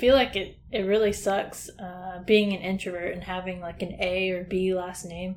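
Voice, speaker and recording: With an American accent, this voice moves at a moderate pace with hardly any pauses and fairly even intonation, showing big swings in loudness over noticeable background noise. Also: woman, medium pitch for a woman. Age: 20s. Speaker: podcast co-host, college student. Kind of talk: casual chat.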